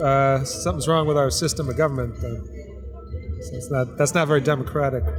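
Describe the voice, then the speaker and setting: Amid audible room echo and music in the background, a man with an American accent talks at a fairly quick pace in a fairly high pitch with ordinary pitch variation. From Florida, West Palm Beach. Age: 40s. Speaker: street interviewee, guitar player. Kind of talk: street interview. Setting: outdoors on a city street. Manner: halting, many fillers.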